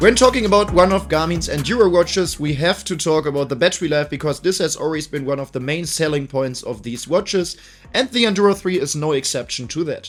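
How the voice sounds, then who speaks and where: A man with a fairly high pitch and lively intonation at a very fast pace, music in the background. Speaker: tech reviewer. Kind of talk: product review to camera.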